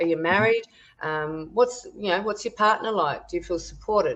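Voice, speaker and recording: A woman's fairly high voice, lively in intonation, with an Australian accent. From Tasmania, Australia. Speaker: wellness educator and natural health therapist. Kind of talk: podcast interview answer. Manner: casual, chatty with fillers.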